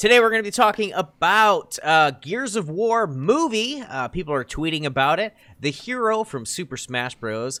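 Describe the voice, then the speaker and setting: High-pitched man with a raised, projected voice, a bright, sharp tone, very wide pitch swings and a moderate pace. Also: hardly any pauses, very clean recording, silent background. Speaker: podcast host. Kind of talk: casual chat. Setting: recorded podcast with co-hosts.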